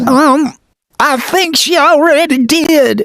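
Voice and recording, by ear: A cartoonish character voice with a high pitch drags along at a very slow pace.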